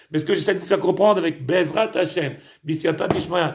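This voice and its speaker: A man speaks with high pitch and monotone, flat intonation. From Tunisia. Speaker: rabbi. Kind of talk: sermon. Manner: halting, repetitive.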